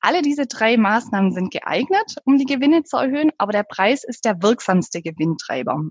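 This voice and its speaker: A woman in a southern German accent, fairly high in pitch, with very wide pitch swings, a fairly quick pace and hardly any pauses, in a dry, close sound with no echo. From southern Germany. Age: 30s. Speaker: pricing consultant. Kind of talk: interview.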